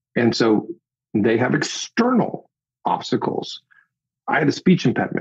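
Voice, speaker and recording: At a moderate pace, a man speaks with very even loudness and long, frequent pauses. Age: 40s. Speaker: executive communication coach and author. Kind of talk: podcast interview. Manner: conversational, with self-corrections.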